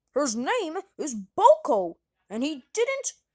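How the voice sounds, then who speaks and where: This woman uses a put-on character voice pitched high. She talks at a very slow pace. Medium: read story. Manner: warm, chuckling.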